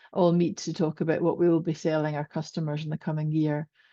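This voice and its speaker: In a Scottish accent, a woman speaks with a fairly low pitch, a dark, mellow tone and monotone, flat intonation, in a dry, close sound with no echo and a quiet background. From Scotland. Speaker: corporate communications volunteer. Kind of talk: panel introduction.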